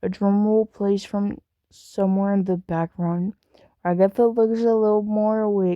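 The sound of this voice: Quiet background behind an unforced reading voice of fairly even intonation.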